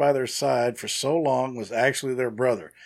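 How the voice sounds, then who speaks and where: A plain, everyday voice at a moderate pace, in a very clean recording with a silent background. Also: man. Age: 50s. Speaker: podcast co-host. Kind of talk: reading aloud; casual chat.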